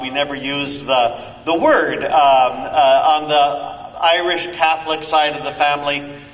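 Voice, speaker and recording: A man with an American accent speaks at a fairly high pitch with fairly even intonation. Audible room echo and noticeable background noise surround him. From Northern California. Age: 60s. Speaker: 12-step speaker, priest. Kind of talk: recovery talk. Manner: halting, many fillers.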